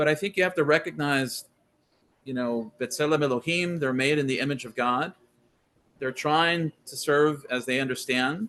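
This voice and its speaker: A man's fairly high voice with an American accent, bright and sharp in tone, ordinary pitch variation, a moderate pace and big swings in loudness. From Texas. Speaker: scholar guest on faith podcast. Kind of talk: interview conversation.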